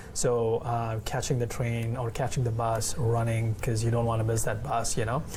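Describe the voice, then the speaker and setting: A man with an Indian accent speaks at a medium pitch and moderate pace in a monotone, flat way. Audible room echo and noticeable background noise surround his voice. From India, Mumbai. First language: Hindi. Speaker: events coordinator and photographer. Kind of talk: casual interview. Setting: restaurant in a mall. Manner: hesitant, many fillers.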